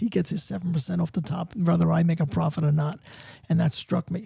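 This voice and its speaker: The speech comes very fast and animated, with a New York accent. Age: 70s. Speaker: entrepreneur and author. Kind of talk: podcast interview.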